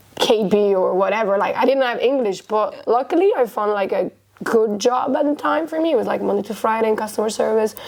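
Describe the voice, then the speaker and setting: A woman speaks at a fairly quick pace with a fairly high pitch. Noticeable background noise sits behind her. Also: ordinary pitch variation. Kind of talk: podcast interview.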